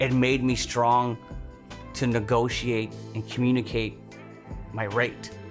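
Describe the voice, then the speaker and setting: Over music in the background, a man talks at a medium pitch with monotone, flat intonation. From Toronto, Canada. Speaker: stand-up comedian. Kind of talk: documentary interview answer.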